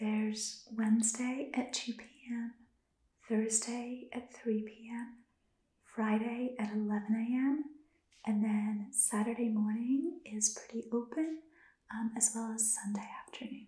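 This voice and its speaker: A soft-spoken woman, dark and mellow in tone, flat and monotone, with audible room echo. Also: fairly slow pace. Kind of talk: role-play dialogue, language practice. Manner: soft-spoken, hushed ASMR concierge voice. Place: home room. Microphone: phone near.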